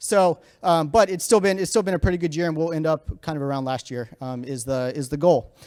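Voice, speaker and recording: With an American accent, a man talks at a fairly quick pace and fairly high pitch, with ordinary pitch variation and hardly any pauses. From Virginia, US. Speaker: startup founder and CEO. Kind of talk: conference talk. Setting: stage with audience. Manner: fast.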